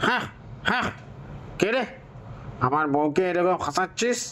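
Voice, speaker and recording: A cartoonish character voice at a middle pitch moves at a moderate pace. Clear background noise is present. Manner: gruff, commanding.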